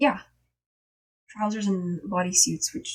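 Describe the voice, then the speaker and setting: At a fairly slow pace, a woman speaks in a somewhat breathy voice of medium pitch. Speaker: streamer. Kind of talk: casual chat. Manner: animated.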